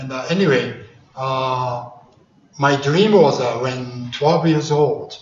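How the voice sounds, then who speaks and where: Audible room echo and noticeable background noise surround a man's medium-pitched voice. He talks at a fairly slow pace with ordinary pitch variation. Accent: Japanese. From Japan. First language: Japanese. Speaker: karate grandmaster. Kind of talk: speech. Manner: halting.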